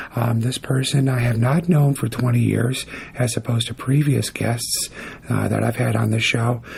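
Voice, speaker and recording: Over noticeable background noise, a man with a medium-pitched voice talks at a moderate pace. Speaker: podcast host. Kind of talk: podcast interview. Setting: comic book shop.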